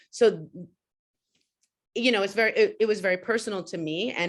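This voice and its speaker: A woman with a New York accent against a quiet background. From New York City. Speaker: panelist. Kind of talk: panel discussion.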